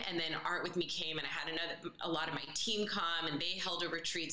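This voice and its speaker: A woman with an American accent speaks in a fairly low voice, with noticeable background noise and audible room echo. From US West Coast, San Francisco Bay Area, Colombian family. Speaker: holistic dietitian and fitness trainer. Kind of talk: casual interview chat.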